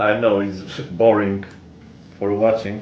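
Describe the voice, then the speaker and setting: Over noticeable background noise and audible room echo, a man talks fairly slowly in a fairly low, monotone, flat voice. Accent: Polish. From Poland. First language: Polish. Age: 60s. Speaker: gun hobbyist vlogger. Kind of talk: casual tutorial. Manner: halting.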